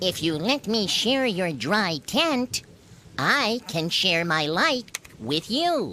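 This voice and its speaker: This put-on character voice sits at a middle pitch and moves at a very slow pace. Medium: read story. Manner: polite, friendly.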